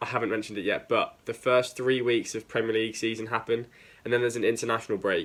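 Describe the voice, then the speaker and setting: The speaker has an English accent and a very fast pace. The recording is very clean, with a silent background. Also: man. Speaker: football video host. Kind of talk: casual talk to camera. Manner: casual, lots of fillers.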